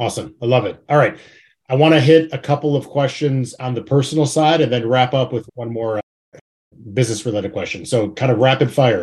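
A man with an American accent talks at a fairly quick pace, sounding somewhat breathy. His pitch varies in an ordinary way. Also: medium pitch for a man. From Chicago. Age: 30s. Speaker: podcast host. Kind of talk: interview.

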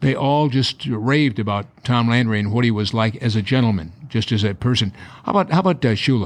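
A man with a plain, everyday voice speaks at medium pitch and a fairly quick pace, with lively intonation and very even loudness over a quiet background. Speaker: sports show host. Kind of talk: broadcast interview.

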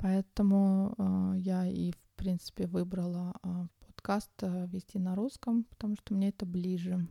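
Her medium-pitched, somewhat breathy voice has a dark, mellow tone and a monotone, flat intonation as the woman speaks at a fairly slow pace in a dry, close sound with no echo. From Uzbekistan, Tashkent. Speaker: podcaster. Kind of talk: personal monologue. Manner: hesitant, many filler sounds.

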